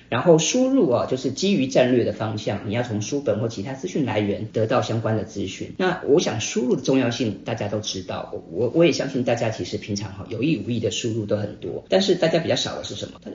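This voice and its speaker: Lively intonation carries this fairly quick delivery, which has hardly any pauses. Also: man, medium pitch for a man. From Taiwan (Hsinchu, raised in Taipei). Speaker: book club host and author. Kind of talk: casual talk to a live audience. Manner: frequent filler particles.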